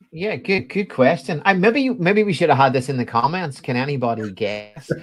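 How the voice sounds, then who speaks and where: A man with a Belfast accent speaks at a fairly quick pace in a fairly high, sing-song voice with very wide pitch swings, over light background noise. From Northern Ireland, Belfast. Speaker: education technology specialist. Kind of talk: interview. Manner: sing-song intonation. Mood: friendly, laughing at times. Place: home room.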